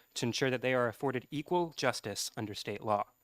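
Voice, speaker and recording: Talking at a very fast pace, the voice sounds dry and close with no echo, on a very clean recording with a silent background. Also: man. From New Hampshire. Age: 20s. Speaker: advocacy group member testifying. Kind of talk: legislative hearing testimony. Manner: formal.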